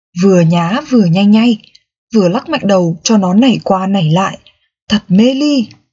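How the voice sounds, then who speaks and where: The voice has lively intonation and a playful, warm tone. It moves at a fairly slow pace and sounds somewhat breathy. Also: woman, long, frequent pauses, very even loudness. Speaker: audiobook narrator. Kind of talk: audiobook reading of a novel, narrated in first person as a dog. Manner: storytelling, playful and humorous, with a warm, expressive tone.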